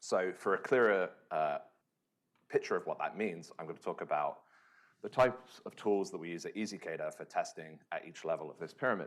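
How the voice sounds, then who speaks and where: Speaking fairly quickly with a British accent, the man lets his loudness swing widely. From UK. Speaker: software engineer, conference speaker. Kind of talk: conference talk. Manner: frequent filler words (um, uh).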